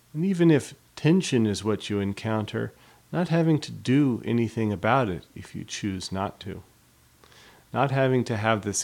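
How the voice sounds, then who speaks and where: A man's fairly low, lively voice, a plain, everyday voice, in a very clean recording with a silent background. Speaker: meditation teacher. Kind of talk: guided body scan meditation, slow spoken instructions. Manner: slow, unhurried, with long pauses between phrases; gentle, soothing and invitational.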